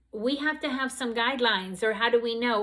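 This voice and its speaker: Pitched rather high, a woman with a normal speaking voice keeps her intonation fairly level. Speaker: nursing instructor. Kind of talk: lecture. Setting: recorded video lecture.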